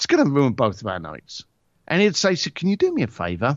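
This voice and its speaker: His speech moves fairly quickly. A creaky vocal fry runs through this man's voice. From Ireland. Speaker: luxury concierge entrepreneur. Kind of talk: interview.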